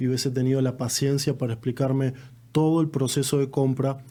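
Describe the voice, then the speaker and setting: A man with an Argentine accent speaks in a fairly high pitch with a dark, mellow tone and monotone, flat intonation. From Argentina. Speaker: real estate agent. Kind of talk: casual podcast chat.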